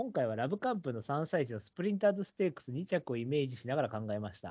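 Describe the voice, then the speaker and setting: A man talks at a very fast pace with a fairly high pitch. His pitch swings very widely. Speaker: horse racing podcast host. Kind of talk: casual chat. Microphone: too quiet, poor sound quality.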